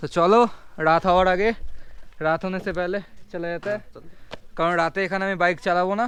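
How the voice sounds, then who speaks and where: A man speaks with fairly even intonation. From Kolkata, West Bengal. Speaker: travel vlogger. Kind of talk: casual travel vlog narration.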